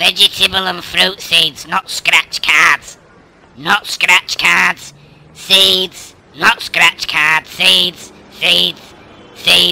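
Someone in a put-on character voice speaks very slowly at a middle pitch with fairly even intonation. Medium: fan dub. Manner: swearing, scornful, nagging.

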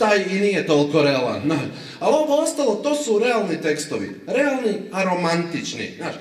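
With audible room echo, the voice moves at a moderate pace through very wide pitch swings. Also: man, high pitch for a man. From Zagreb, Croatia; Croatia. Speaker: stand-up comedian. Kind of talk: stand-up. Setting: stage with audience. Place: stage.

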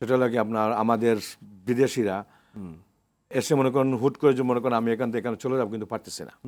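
On a very clean recording with a silent background, a man speaks at medium pitch in a monotone, flat intonation. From Bangladesh, Moulvibazar (Sylhet). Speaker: hotel banquet manager, expatriate. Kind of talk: TV interview. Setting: studio.

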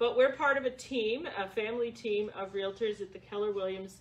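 A woman speaks at a moderate pace. Her intonation is lively. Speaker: presenter. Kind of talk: workshop presentation. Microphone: camera far.

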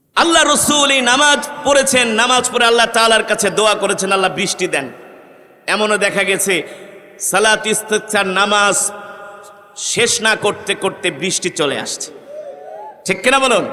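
A man's raised, projected voice, high-pitched and passionate in tone, with ordinary pitch variation and noticeable background noise. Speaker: Islamic preacher. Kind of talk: Islamic sermon (waz) delivered to a crowd. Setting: mahfil gathering, live sermon. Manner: rhetorical, passionate, addressing audience with questions.

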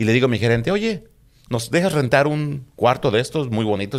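A man speaks at a moderate pace. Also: quiet background. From Mexico City. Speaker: police officer; guest. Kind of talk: casual interview. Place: studio. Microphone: studio mic.

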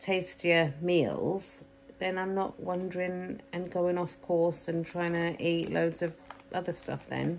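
A woman in an English accent at a fairly slow pace. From England. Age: 40s. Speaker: vlogger documenting weight loss. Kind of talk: casual vlog to camera. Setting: at home with children around. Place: home room. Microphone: phone near.

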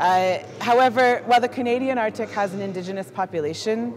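There is noticeable background noise behind a woman speaking at fairly high pitch. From Canada. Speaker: artist. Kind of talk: presentation with slides. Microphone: handheld.

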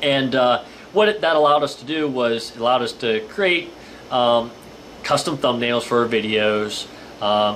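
The delivery is fairly slow, with fairly even intonation. Light background noise sits underneath. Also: man. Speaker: outdoor channel host. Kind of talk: casual vlog chat. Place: home room. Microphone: webcam.

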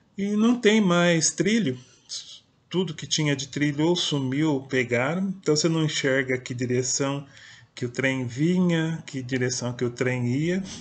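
Somewhat breathy and fairly high in pitch, a man speaks at a fairly slow pace with ordinary pitch variation. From interior of São Paulo state, Brazil. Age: 50s. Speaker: poet and writer, video blogger; personal storyteller. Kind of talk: personal storytelling monologue. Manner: hesitant, with fillers. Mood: calm, reflective. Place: home room. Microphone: webcam.

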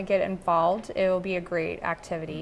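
Over light background noise, a woman with an American accent talks at a fairly quick pace. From Dubuque, Iowa, US Midwest; Iowa. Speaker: anti-trafficking nonprofit board member; guest. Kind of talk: TV interview. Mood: earnest, heartfelt. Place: studio.

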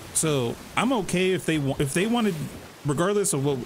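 Amid noticeable background noise and audible room echo, a man speaks at a fairly quick pace with lively intonation and an animated tone. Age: 30s. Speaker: gaming livestreamer. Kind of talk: live gameplay commentary. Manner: casual, animated.

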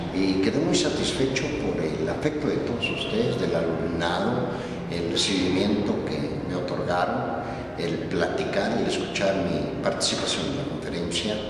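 A man's voice comes through strong room echo and noticeable background noise. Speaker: voice actor. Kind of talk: casual talk to camera. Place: classroom.

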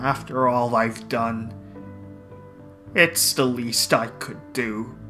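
Over clear background music, a low put-on character voice speaks at a very slow pace.

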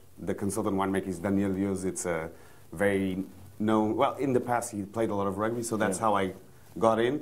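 A man's fairly low pitch, ordinary pitch variation, and fairly quick pace. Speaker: guest. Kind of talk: interview answer. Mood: cheerful, relaxed. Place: shop. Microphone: lapel.

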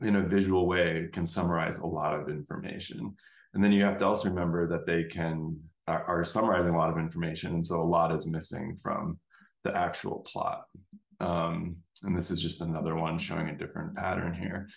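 With a very deep, low pitch and monotone, flat intonation, a man talks at a fairly quick pace in a quiet background with audible room echo. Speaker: instructor. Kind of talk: lecture. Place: home room. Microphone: webcam.

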